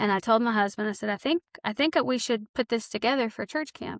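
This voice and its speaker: A woman with a Southern US accent speaks at a high pitch with ordinary pitch variation, recorded dry and close with no echo. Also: very clean recording, silent background. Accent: Southern drawl. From Arkansas. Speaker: author and counselor. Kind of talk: podcast interview. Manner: casual.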